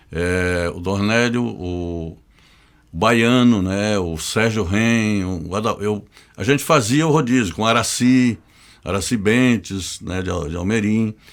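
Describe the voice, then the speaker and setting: A man with a fairly low pitch talks very slowly, his pitch varying in an ordinary way. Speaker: journalist. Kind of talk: casual interview.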